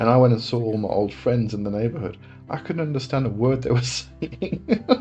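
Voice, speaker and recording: With music in the background, a man speaks fairly quickly at medium pitch with ordinary pitch variation. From England. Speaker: occult livestream host. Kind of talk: casual live chat Q&A. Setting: live stream.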